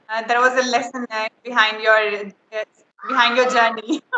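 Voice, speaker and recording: A woman with an Indian accent speaks at a fairly high pitch with fairly even intonation. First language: Hindi. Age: 20s. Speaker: English learner, student. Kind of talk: casual chat. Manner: halting, many fillers.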